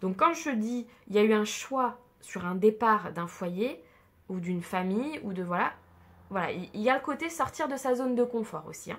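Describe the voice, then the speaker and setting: With a central French accent, a woman speaks at a moderate pace. Her pitch is fairly high. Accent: central French accent, noticeable today. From central France. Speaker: tarot card reader. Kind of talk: tarot reading. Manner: casual with many hesitations; drops mute e sounds.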